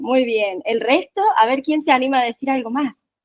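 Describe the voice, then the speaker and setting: With a Málaga Andalusian accent, a woman talks at a fairly quick pace with ordinary pitch variation in a dry, close sound with no echo. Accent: sounds Málaga Andalusian. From Argentina, Córdoba. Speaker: workshop trainer. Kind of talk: online training session.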